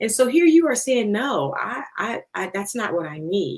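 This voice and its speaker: A woman speaks in an American accent at a fairly slow pace. Her pitch swings very widely. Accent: northern US with slight southern twang. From Philadelphia, US Northeast. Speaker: podcast host. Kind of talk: interview. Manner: animated.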